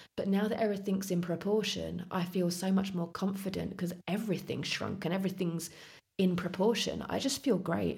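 Audible room echo surrounds a woman of medium pitch who speaks at a moderate pace with vocal fry and fairly even intonation. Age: 40s. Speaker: office manager, podcast guest. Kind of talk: casual interview, personal story.

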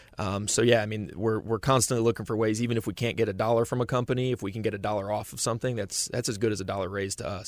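A man at a fairly low pitch, very fast, with hardly any pauses and fairly even intonation. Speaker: nonprofit staffer. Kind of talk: radio interview chat. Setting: studio.

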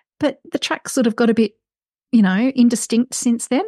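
Speaking in an Australian accent, a woman has a high voice with a dark, mellow tone. Her fairly quick speech has a dry, close sound with no echo. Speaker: outdoor writer and mountain rescue volunteer. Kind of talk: interview.

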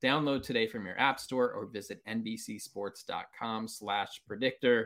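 A man with an ordinary speaking voice and lively intonation speaks at a moderate pace on a very clean recording with a silent background. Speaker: baseball podcast host. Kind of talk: casual interview chat.

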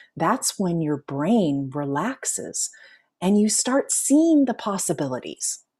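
A woman speaks very slowly at medium pitch, somewhat breathy with a dark, mellow tone. Her pitch swings very widely on a very clean recording with a silent background. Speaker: life coach and author. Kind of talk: interview. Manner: slows and lowers voice when guiding relaxation.

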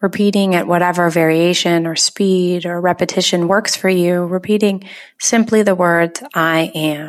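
On a very clean recording with a silent background, a woman with an unremarkable speaking voice, fairly low in pitch, talks with fairly even intonation and hardly any pauses. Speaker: meditation guide. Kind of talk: guided meditation. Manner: slow, soothing, calm; gentle, soft-spoken with long pauses.

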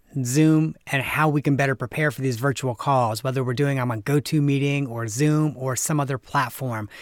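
A man with a fairly high pitch and ordinary pitch variation. His is an unremarkable speaking voice. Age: 40s. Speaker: nonprofit consultant and podcast host. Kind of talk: casual interview.

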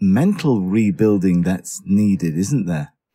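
A man with a dark, mellow tone and lively intonation speaks at a moderate pace. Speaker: podcast host and journalist. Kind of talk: news podcast narration and interview. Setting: in a car in the earthquake zone.

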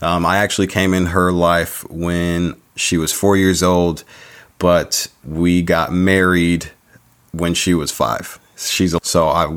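The speech moves at a very slow pace with fairly even intonation. It comes in an American accent. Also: man. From San Diego, California. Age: 30s. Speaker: podcast host. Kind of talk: solo podcast monologue.

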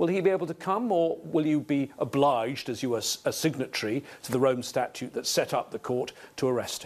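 It is a plain, everyday voice, moving at a fairly quick pace with lively intonation. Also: man, fairly high pitch for a man. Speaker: television interviewer. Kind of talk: interview.

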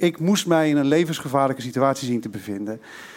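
A man talks with lively intonation. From Twente, eastern Netherlands. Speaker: storyteller. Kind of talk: live storytelling. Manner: halting.

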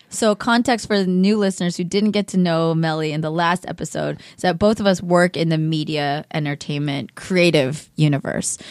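Moderate pace, hardly any pauses, ordinary pitch variation, and a very clean recording with a silent background. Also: woman, fairly low pitch for a woman. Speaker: podcast host. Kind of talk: casual chat. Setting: studio. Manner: loud; animated.

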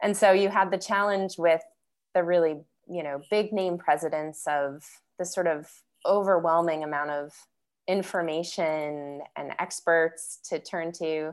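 A woman with an American accent at a fairly low pitch and a fairly slow pace, on a very clean recording with a silent background. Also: fairly even intonation. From New York. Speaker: podcast host and journalist. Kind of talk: interview conversation.

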